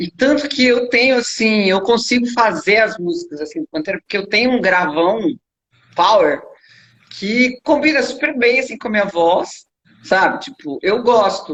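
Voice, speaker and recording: Very wide pitch swings in a woman's fairly high voice, moderate in pace. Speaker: rock singer. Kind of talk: interview.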